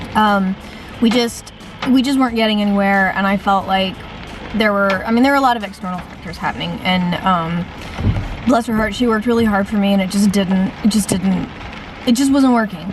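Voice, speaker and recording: With an American accent, a woman speaks at a fairly quick pace and with fairly even intonation. She takes long, frequent pauses over noticeable background noise. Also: medium pitch for a woman. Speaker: vlogger and writer. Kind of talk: casual vlog. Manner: hesitant with many ums; fast.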